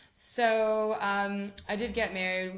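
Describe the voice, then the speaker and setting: A woman with an American accent, with audible room echo around her voice. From US West Coast, San Francisco. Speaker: rabbi's wife. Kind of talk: interview. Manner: hesitant, many ums.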